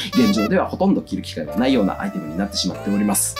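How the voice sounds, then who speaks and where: With music in the background, a man speaks at a very fast pace. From Okayama, Japan. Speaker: fashion industry worker. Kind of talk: casual talk to camera. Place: home room.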